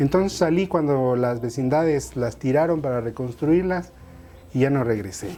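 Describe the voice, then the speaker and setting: Music plays in the background as a man talks. His pitch is medium, with ordinary variation. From Mexico City, Tepito. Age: 40s. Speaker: artist and writer. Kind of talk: interview testimony. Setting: at home, apartment. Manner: conversational.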